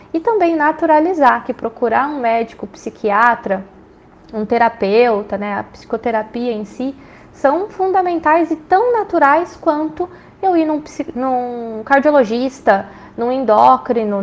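A woman's high-pitched voice with lively intonation at a fairly slow pace, over noticeable background noise. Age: 30s. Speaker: business administration researcher. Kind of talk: expert interview.

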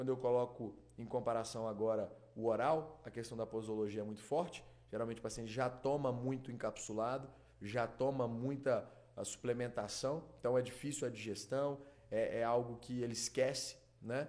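A man with a normal speaking voice talks at a moderate pace, with a medium pitch and fairly even intonation. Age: 20s. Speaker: doctor. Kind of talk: casual interview.

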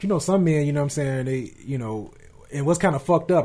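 Somewhat breathy and dark, mellow in tone, a man talks at a very fast pace with a fairly high pitch and ordinary pitch variation. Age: 30s. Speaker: podcast host. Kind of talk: casual chat. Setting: studio.

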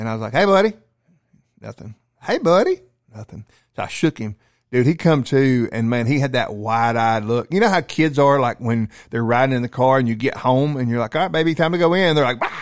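Recorded very cleanly with a silent background and a dry, close sound with no echo, a man with a plain, everyday voice and a medium pitch talks at a fairly quick pace with lively intonation. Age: 40s. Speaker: police officer. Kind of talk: casual chat.

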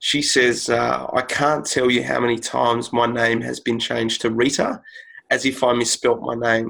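With an Australian accent, a man talks at a moderate pace in a flat, monotone delivery. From Sydney, Australia. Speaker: podcast host. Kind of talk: podcast interview.

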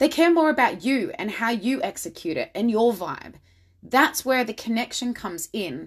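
Against a silent background on a very clean recording, a woman with an Australian accent speaks at a fairly high pitch and moderate pace, with a warm, enthusiastic tone and very wide pitch swings. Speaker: confidence and style coach podcaster. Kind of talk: solo podcast monologue, motivational. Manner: warm, enthusiastic, animated.

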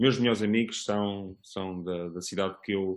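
A man's very deep, low voice, fairly even in intonation and fairly slow in pace. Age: 40s. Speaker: parent guest. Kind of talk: casual chat. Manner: halting.

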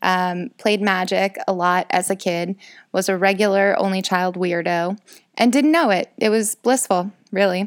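In a very clean recording with a silent background and a dry, close sound with no echo, a woman with an American accent speaks at a fairly slow pace, at a medium pitch, with ordinary pitch variation and very even loudness. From rural Illinois, US Midwest. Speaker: podcaster. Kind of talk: casual monologue. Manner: rambling with fillers.

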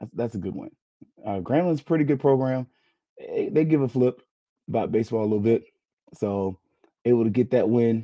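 A man talks at a fairly quick pace with long, frequent pauses. His medium-pitched voice is gravelly, with a dark, mellow tone. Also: ordinary pitch variation.

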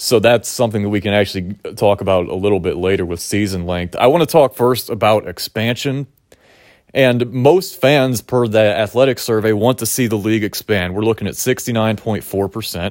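With an American accent, a man talks at a fairly quick pace in a normal speaking voice, fairly low-pitched with ordinary pitch variation. The recording is very clean, with a silent background. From Pittsburgh, US. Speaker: podcast host. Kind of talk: casual interview.

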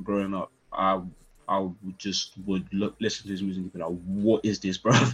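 A man with a London accent and a fairly low pitch. The background is quiet. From Northwest London. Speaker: music artist and producer. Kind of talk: casual interview chat.

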